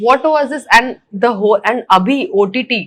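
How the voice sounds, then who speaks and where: A normal speaking voice from a woman, its pitch varying in an ordinary way. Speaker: interviewer. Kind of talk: interview questions.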